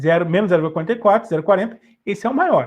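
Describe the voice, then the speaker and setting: A man is speaking. His intonation is lively. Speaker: chemistry teacher. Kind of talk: online lesson.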